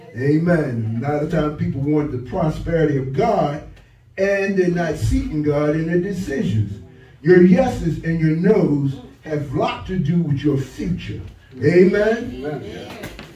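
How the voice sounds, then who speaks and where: A man's dark, mellow, somewhat breathy voice moves at a fairly slow pace with lively intonation. Audible room echo surrounds it. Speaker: pastor. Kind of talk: sermon. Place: church.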